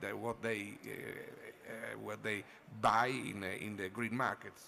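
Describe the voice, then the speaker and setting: Speaking with an Italian accent, a man talks at a fairly slow pace. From Italy. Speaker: wine and food critic. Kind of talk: conference panel talk. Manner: halting.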